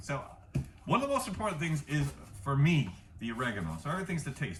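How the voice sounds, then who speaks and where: Very fast, fairly high-pitched speech from a man, full of very wide pitch swings, with noticeable background noise behind it. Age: 40s. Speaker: home cook and martial arts instructor. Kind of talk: cooking tutorial. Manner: casual.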